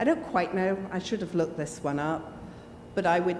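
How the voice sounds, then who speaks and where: A woman with an English accent speaks amid noticeable background noise and audible room echo. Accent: very English. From Jersey, Channel Islands. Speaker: church panelist. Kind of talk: personal testimony at forum. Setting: church hall with handheld microphone.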